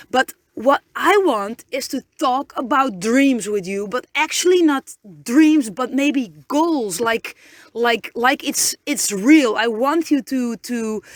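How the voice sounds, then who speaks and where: A woman's high voice moves at a very slow pace with lively intonation, the sound dry and close with no echo. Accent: Dutch. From Netherlands. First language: Dutch. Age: 30s. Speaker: podcaster. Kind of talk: inspirational pep talk. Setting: inside a van. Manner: halting, many repetitions and fillers.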